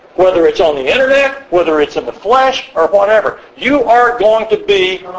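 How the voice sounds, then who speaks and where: With noticeable background noise behind him, a man speaks at a moderate pace in a high pitch with very wide pitch swings. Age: 70s. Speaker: church elder teaching a men's class. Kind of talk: lecture. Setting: retreat classroom with live audience.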